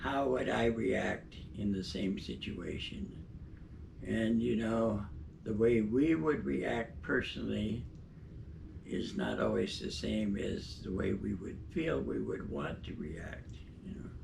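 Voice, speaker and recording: A man talks very slowly, and audible room echo follows his words. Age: 90s. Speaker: retired obstetrician. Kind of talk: interview. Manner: halting.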